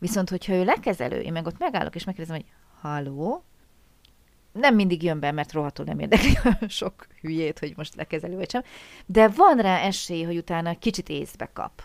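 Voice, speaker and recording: Delivered at a fairly quick pace with lively intonation, this is a plain, everyday voice. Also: woman, fairly low pitch for a woman. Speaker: podcast host, German language teacher. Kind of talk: casual interview chat; scripted intro.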